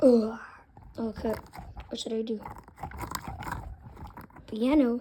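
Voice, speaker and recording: In a cartoonish character voice, a female-sounding speaker talks fairly slowly at a fairly high pitch. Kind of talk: casual talk to camera. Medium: puppet.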